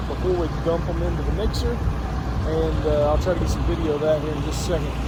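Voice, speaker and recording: Noticeable background noise and audible room echo surround the recording. A man speaks at a fairly quick pace. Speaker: cattle rancher. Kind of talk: casual farm tutorial. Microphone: no microphone on.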